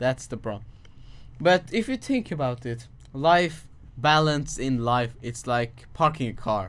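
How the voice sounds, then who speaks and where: At a fairly slow pace, a man talks in an ordinary speaking voice with a medium pitch and ordinary pitch variation. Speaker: podcast co-host. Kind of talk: casual chat.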